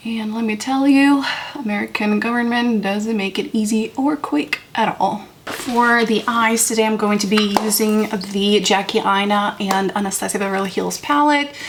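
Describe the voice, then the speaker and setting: A moderate pace with ordinary pitch variation and hardly any pauses, over noticeable background noise. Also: woman, fairly high pitch for a woman. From Moldova. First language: Romanian and Russian. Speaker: beauty vlogger. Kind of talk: casual makeup tutorial chat.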